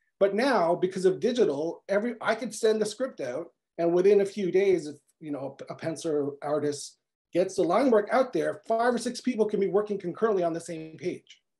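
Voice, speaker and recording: A man with a Canadian accent, high-pitched, dark and mellow in tone, lively in intonation, at a fairly quick pace. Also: quiet background. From Quebec. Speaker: comic book writer. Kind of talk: panel discussion. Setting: video call. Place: home room. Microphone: video call.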